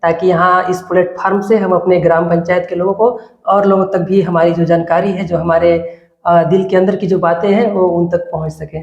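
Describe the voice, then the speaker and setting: Monotone, flat intonation marks speech delivered at a moderate pace. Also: man. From India, Chhattisgarh (Balrampur district). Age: 20s. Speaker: village election candidate, student. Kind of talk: interview. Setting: studio.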